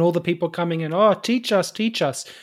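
A high-pitched man at a very fast pace, on a very clean recording with a silent background. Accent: Australian. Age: 30s. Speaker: podcast host, gardener. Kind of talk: casual interview.

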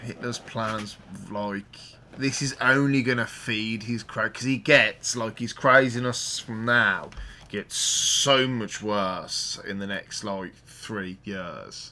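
In a Birmingham accent, a man speaks very slowly at a medium pitch, his tone bright and sharp and his intonation fairly even. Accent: Birmingham (West Midlands). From Birmingham, England. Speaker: podcast host. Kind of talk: casual chat. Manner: informal, jokey.

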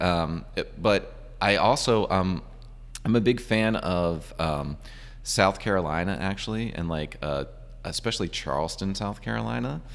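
Very deep and low, a man's voice carries vocal fry and an American accent. He speaks at a fairly slow pace with lively intonation. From Virginia, US. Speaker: brewery owner. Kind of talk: interview. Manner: halting.

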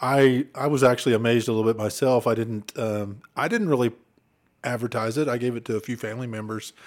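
Speaking with an Oklahoma accent, the voice moves at a fairly quick pace with fairly even intonation. The recording is very clean, and the background is silent. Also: man. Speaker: former state trooper, podcast co-host. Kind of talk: casual chat.

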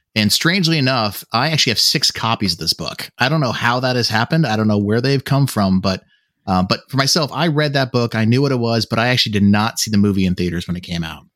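A man talks very fast with lively intonation and hardly any pauses. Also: medium pitch for a man, dry, close sound with no echo, very clean recording, silent background. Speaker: lead podcast host. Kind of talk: casual chat.

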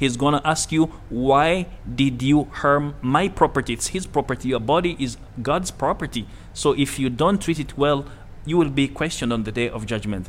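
A man's fairly high voice with vocal fry, ordinary pitch variation, and a moderate pace. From Uganda. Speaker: Islamic teacher at a community centre for new Muslims. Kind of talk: interview.

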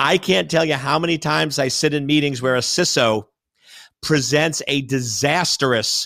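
This man has a plain, everyday voice with a fairly high pitch. The recording is very clean, with a silent background. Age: 50s. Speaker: cybersecurity expert. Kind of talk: interview.

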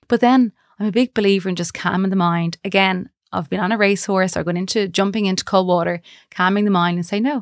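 Speaking fairly quickly in a western Irish accent, a woman keeps a medium pitch and ordinary pitch variation, her dry, close sound free of echo on a very clean recording with a silent background. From Galway, western Ireland. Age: 40s. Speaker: marketing manager. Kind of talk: interview.

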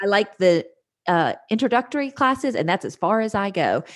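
Against a quiet background, a woman speaks in an unremarkable speaking voice at a fairly high pitch. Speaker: Enneagram coach. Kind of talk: casual interview chat.

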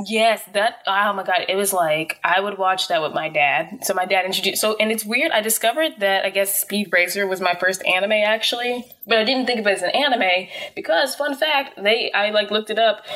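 Over noticeable background noise, a woman talks at a fairly quick pace and medium pitch with lively intonation and hardly any pauses. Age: 20s. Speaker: podcast co-host. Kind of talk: casual chat. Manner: animated.

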